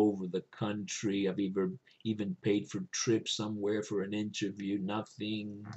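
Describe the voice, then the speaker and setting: In a Spanish accent, a man speaks at a fairly slow pace, his fairly low pitch held in a monotone, flat intonation. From Cuba. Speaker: religious video host. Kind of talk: spiritual reflection monologue. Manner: conversational, with hesitations.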